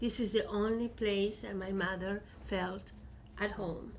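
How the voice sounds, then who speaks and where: A woman speaks with a Chilean Spanish accent. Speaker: poet and professor. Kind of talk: book talk.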